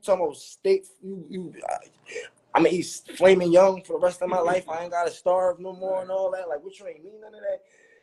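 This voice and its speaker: The man has a dark, mellow tone and a high pitch with ordinary pitch variation. He speaks at a fairly quick pace. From West Philadelphia. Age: 30s. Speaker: rapper. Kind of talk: interview. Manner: animated.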